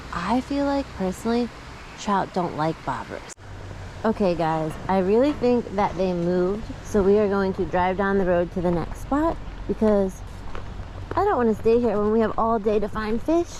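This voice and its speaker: A woman talks at a moderate pace with lively intonation and very even loudness. Noticeable background noise is present. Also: medium pitch for a woman. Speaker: fishing vlogger. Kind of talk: casual vlog. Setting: outdoors. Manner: upbeat.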